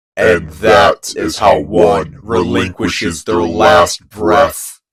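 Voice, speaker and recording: A man speaks very slowly in a put-on character voice with a very deep, low pitch. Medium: read story. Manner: cryptic, detached.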